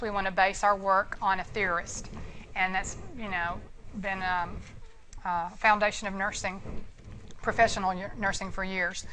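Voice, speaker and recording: A woman with an American accent speaks in a bright, sharp tone, with audible room echo. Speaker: nursing instructor and hospice nurse. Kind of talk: lecture. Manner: fast; animated.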